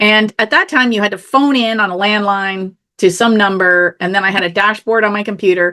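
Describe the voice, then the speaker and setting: Loud and animated, a woman speaks with a bright, sharp tone. Her pace is fairly quick, with hardly any pauses. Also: medium pitch for a woman. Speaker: author and contest expert. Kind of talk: interview. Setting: video call from home office.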